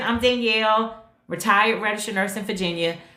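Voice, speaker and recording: A woman talks at a very fast pace in a bright, sharp, upbeat tone. Audible room echo surrounds her voice. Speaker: retired nurse turned digital marketer. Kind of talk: livestream chat. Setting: TikTok live stream. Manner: casual, upbeat.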